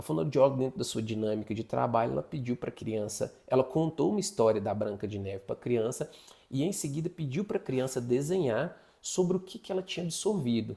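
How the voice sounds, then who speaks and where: With a dark, mellow tone and a somewhat breathy quality, a man speaks at a fairly quick pace, his pitch swinging very widely. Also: medium pitch for a man. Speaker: psychologist teaching an online course. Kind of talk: lecture. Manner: fast.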